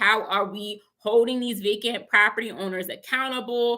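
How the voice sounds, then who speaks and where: Speaking fairly slowly with an American accent, a woman has a fairly high pitch and a bright, sharp tone. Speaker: real estate investor and educator. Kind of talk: livestream talk. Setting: live stream with chat.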